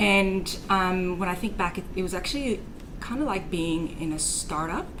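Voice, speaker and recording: Noticeable background noise and audible room echo fill the recording. A woman talks at a moderate pace with a medium pitch. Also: ordinary pitch variation. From Quebec, French Canada. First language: French. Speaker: startup founder. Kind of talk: interview. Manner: hesitant, with fillers.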